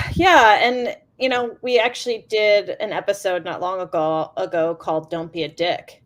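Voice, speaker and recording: A woman's loud, medium-pitched voice with very wide pitch swings at a moderate pace and hardly any pauses, on a very clean recording with a silent background. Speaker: roller derby coach and skater. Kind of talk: interview. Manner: halting.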